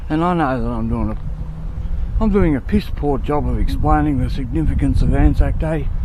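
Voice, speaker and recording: The speaker has an Australian accent, heard with audible room echo and noticeable background noise. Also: man. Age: 50s. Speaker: vlogger. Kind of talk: casual vlog monologue. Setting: outdoors. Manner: hurried.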